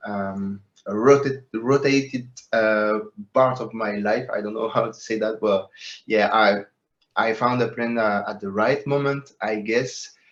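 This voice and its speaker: A man with a French accent talks at a fairly slow pace and medium pitch, his intonation fairly even. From France, Paris. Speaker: metaverse project co-founder. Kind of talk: interview. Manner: halting, many fillers.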